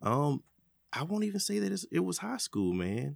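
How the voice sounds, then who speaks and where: The speaker, with an Alabama accent, is heard in a dry, close sound with no echo. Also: man. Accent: US South (Alabama). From Birmingham, Alabama. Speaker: music producer. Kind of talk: casual interview. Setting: studio.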